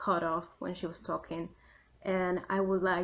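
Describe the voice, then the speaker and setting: A woman speaks at a fairly slow pace with a Spanish accent. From Argentina. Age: adult. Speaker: YouTuber and writer. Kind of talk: casual vlog commentary. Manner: chatty, many fillers.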